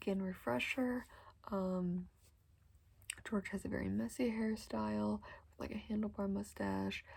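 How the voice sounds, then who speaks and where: Soft-spoken, this speaker delivers the words fairly slowly. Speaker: ASMR creator. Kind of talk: ASMR haircut role play, soft-spoken chat to the listener. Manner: soft-spoken, friendly, welcoming.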